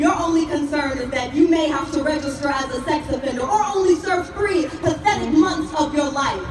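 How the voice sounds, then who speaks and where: Noticeable background noise sits behind a woman with a high-pitched voice. She talks at a moderate pace with ordinary pitch variation and hardly any pauses. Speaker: spoken word poet. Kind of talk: spoken word poetry performance. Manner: impassioned, forceful.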